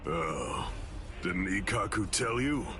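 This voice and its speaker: Over loud background noise, a man performs a cartoonish character voice at a medium pitch. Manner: calm, menacing, mocking.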